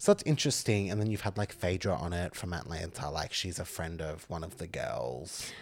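A man with an Australian accent talks at a fairly quick pace with hardly any pauses, his very deep, low pitch showing vocal fry and ordinary pitch variation. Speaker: podcast co-host. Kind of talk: casual chat.

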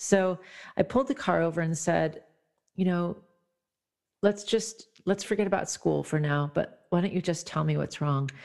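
A woman with a fairly low voice speaks at a moderate pace, with ordinary pitch variation and long, frequent pauses. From US Midwest. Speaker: songwriter and author. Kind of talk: interview. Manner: hesitant, many fillers.

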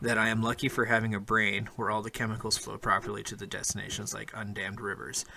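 A man speaks very fast with hardly any pauses, his tone animated, bright and sharp. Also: medium pitch for a man. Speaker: podcast host. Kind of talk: casual banter, then spooky story reading. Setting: call. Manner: profane, jokey, animated.

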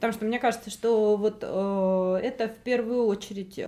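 This woman's pitch sits fairly high. Her pitch varies in an ordinary way. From Russia. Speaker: translator and journalist. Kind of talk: interview. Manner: hesitant, many fillers.

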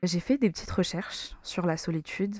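Her voice fairly low in pitch and dark, mellow in tone, a woman speaks at a fairly quick pace. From Madagascar. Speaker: podcast host. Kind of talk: solo podcast monologue. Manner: casual.

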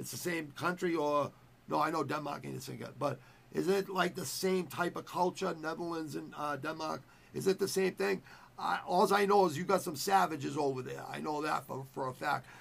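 With an American accent, a man talks at a moderate pace in a fairly high voice with vocal fry and ordinary pitch variation. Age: 50s. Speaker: podcast host, fight commentator. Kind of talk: casual chat. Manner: animated.

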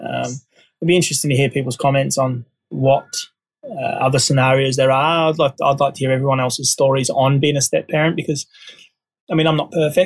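With an Australian accent, a man talks at a fairly quick pace in a somewhat breathy, fairly high-pitched voice with fairly even intonation. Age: 30s. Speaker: podcast host. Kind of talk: casual monologue. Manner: halting, many fillers.

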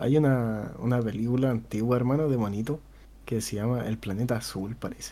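Speaking at a fairly quick pace with fairly even intonation, a man with a dark, mellow tone talks in a Chilean accent. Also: medium pitch for a man. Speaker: podcast host. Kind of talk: casual chat.

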